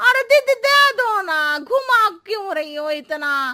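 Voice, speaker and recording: A cartoonish character voice, female-sounding and extremely high-pitched, moves through very wide pitch swings at a fairly slow pace. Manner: circuitous, chatty.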